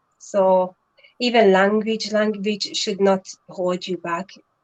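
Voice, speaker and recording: A woman with a Hungarian accent, medium-pitched, at a fairly slow pace, fairly even intonation, dry close sound without echo. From Hungary. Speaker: online entrepreneur. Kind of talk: live stream interview.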